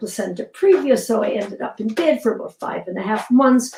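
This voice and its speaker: Over noticeable background noise, a woman talks at a very fast pace with a fairly high pitch and lively intonation. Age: 80s+. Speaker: fitness programme creator. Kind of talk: interview.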